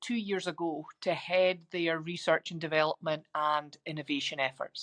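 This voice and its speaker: A woman with a Scottish accent at a moderate pace, in a dry, close sound with no echo. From Scotland. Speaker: biotech executive and scientist. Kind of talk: interview. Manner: frequent filler ums.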